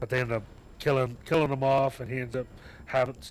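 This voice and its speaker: Noticeable background noise runs under this voice. A man talks at a medium pitch. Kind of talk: casual chat. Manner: halting.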